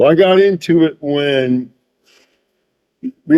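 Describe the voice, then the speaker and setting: Speaking at a very slow pace, a man with an American accent has a fairly high pitch and a dark, mellow tone, the sound dry and close with no echo. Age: 60s. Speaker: fisherman. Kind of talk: interview. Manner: halting.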